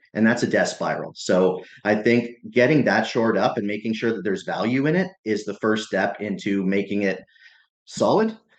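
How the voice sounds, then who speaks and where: Using a plain, everyday voice, a man talks at a moderate pace in a medium pitch. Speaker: chief marketing officer. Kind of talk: podcast interview answer. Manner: conversational.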